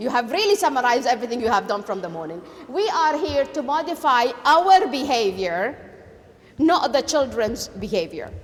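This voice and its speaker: A woman's high voice in a Kuwaiti accent, swinging very widely in pitch at a fairly quick pace, amid noticeable background noise and audible room echo. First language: Arabic. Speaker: education lecturer. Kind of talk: lecture.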